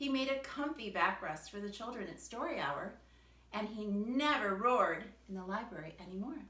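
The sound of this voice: This unforced reading voice moves through ordinary pitch variation.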